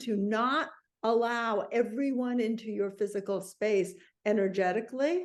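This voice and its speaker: In a normal speaking voice, a woman with an American accent talks at a fairly slow pace, her fairly high pitch carried by lively intonation. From New York. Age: 60s. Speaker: intuitive and author. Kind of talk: interview conversation.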